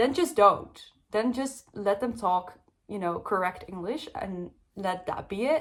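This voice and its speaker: With a Dutch accent, a woman speaks at a fairly slow pace. Her medium pitch carries lively intonation. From Netherlands. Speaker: book youtuber. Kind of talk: casual book review vlog. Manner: casual, many fillers.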